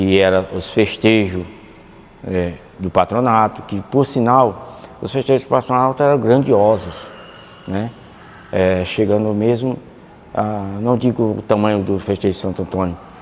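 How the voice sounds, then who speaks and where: Amid noticeable background noise, a man with a fairly low pitch speaks at a fairly slow pace with long, frequent pauses. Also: ordinary pitch variation. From Campo Maior, Piauí, Brazil. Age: 60s. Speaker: former student. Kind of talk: documentary interview testimony.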